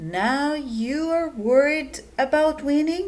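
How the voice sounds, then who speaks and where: Using a put-on character voice, a woman talks at a high pitch and a very slow pace. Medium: read story.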